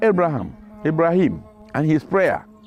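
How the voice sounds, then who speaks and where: A man talks at a fairly slow pace in a high voice while music plays in the background. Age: 80s+. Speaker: retired educator. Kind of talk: testimony.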